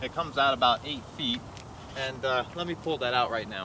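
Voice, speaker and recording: The speech moves at a fairly quick pace with ordinary pitch variation. The sound is dry with no echo, though noticeable background noise is present. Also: man. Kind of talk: casual tour commentary. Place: open country. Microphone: camera far.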